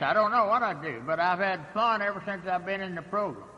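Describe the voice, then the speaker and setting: A man with a high pitch speaks in a raised, projected voice. Noticeable background noise runs underneath. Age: 80s+. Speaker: AA speaker, recovering alcoholic. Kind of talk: recovery meeting talk. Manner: halting, many fillers.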